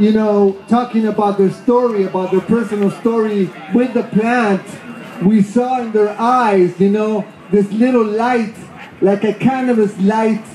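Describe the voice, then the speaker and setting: Over noticeable background noise, a man talks at a fairly slow pace in a high pitch with monotone, flat intonation. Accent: Argentine. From Argentina. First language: Spanish. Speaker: hemp activist. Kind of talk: festival speech. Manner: halting.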